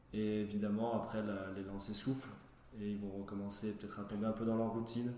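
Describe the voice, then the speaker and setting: A man with a fairly low pitch talks at a fairly quick pace in monotone, flat intonation, with audible room echo and noticeable background noise. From Saint-Étienne area, France. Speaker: physiotherapist. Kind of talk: casual professional interview.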